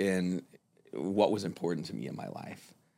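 Speaking very slowly, a man has an American accent. The recording is very clean, with a silent background. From South Florida. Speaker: kava bar server and artist. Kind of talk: casual interview. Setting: studio. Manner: relaxed, many fillers.

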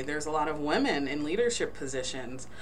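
With a very deep, low pitch and ordinary pitch variation, a woman talks at a fairly quick pace against noticeable background noise. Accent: American. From New Jersey. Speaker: forensic pathologist. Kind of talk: interview.

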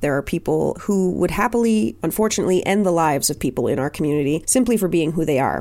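Very fast, lively speech with vocal fry, very even loudness and hardly any pauses. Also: woman, fairly low pitch for a woman. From Nova Scotia, Canada. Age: 30s. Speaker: podcast host and drag king. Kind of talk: solo podcast monologue.

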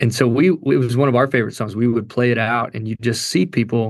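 A man speaks with a Kentucky accent at a fairly quick pace against a quiet background. His medium-pitched voice shows ordinary pitch variation. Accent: Kentucky Southern US. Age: 40s. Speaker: worship pastor and singer. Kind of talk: interview testimony. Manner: casual, animated.

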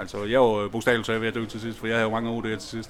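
Talking at a very fast pace, a man speaks with a medium pitch. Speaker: heroin user and patient. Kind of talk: interview, discussion.

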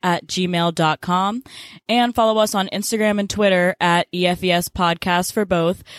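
Delivered at a moderate pace with fairly even intonation, an ordinary speaking voice comes through a very clean recording with a silent background and a dry, close sound with no echo. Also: woman. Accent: American. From US South, Memphis, Tennessee. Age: young. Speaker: podcast co-host, college student. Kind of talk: casual podcast intro, partly scripted.

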